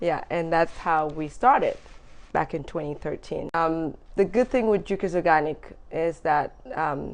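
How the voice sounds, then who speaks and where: A woman speaks at a fairly slow pace with an African accent. Her voice is fairly low with ordinary pitch variation, against a quiet background. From Gambia. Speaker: entrepreneur, business founder. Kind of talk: interview.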